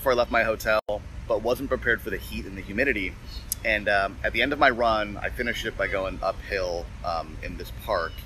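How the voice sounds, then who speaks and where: A man speaks at a very fast pace with big swings in loudness. Noticeable background noise runs behind him. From Canada, Toronto. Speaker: podcast host, business consultant. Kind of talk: casual monologue. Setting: outdoors, on a run.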